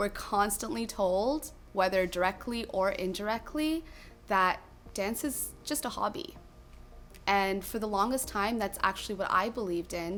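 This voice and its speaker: An ordinary speaking voice: a woman in a Canadian accent, medium pitch, moderate pace and lively intonation. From Toronto, Canada. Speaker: dancer and choreographer. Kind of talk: personal testimony interview.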